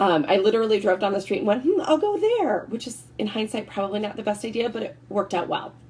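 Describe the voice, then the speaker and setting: Very fast, animated speech with lively intonation and hardly any pauses, over noticeable background noise. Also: woman, fairly high pitch for a woman. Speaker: network marketing consultant. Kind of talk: sales presentation.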